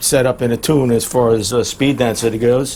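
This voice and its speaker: Against noticeable background noise, a man talks at medium pitch and a fairly slow pace. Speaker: car mechanic youtuber. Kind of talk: diy tutorial vlog. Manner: halting, many fillers.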